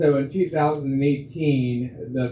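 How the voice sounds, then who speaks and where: A man with an American accent, fairly slow pace, and monotone, flat intonation. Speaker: county commissioner. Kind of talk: audience question. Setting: breakfast meeting with audience. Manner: loud.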